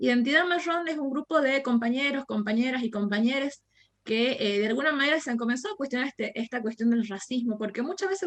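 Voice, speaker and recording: This woman speaks at a very fast pace with a high pitch. Her intonation is lively. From Argentina, Jujuy (northwest). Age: 20s. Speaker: university lecturer and anti-racism activist. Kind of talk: podcast interview.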